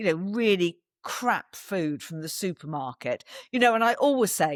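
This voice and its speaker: In a very clean, dry recording with a silent background and no echo, a woman with an English accent sounds animated, her pitch swinging very widely. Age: 60s. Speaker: wellness event organiser and podcaster. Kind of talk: podcast interview.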